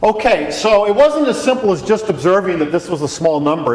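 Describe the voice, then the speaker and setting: A man with a high pitch and lively intonation talks over noticeable background noise. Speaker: physics professor. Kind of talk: lecture.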